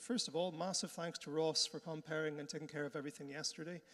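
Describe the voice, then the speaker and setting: Speaking at a very fast pace, a man talks with a Northern Irish accent. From Northern Ireland. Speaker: conference host. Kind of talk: conference hosting. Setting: conference hall with audience. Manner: casual, friendly.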